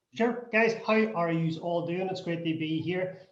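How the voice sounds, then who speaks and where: In a Northern Irish accent, a man speaks at a high pitch with audible room echo. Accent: Derry Northern Irish. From Derry, Northern Ireland. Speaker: non-profit founder. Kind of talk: panel discussion.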